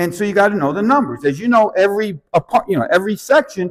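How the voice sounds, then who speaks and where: A man speaks in a high voice. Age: 60s. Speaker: bookkeeping business coach. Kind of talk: seminar talk to live audience. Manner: casual, conversational.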